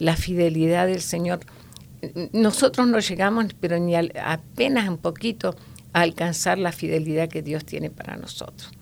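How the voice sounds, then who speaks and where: A woman with a fairly low voice speaks in a Rioplatense accent, her pitch varying in an ordinary way. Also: moderate pace. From Argentina, La Pampa then Buenos Aires. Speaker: grandmother sharing faith story. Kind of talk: testimony. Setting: studio.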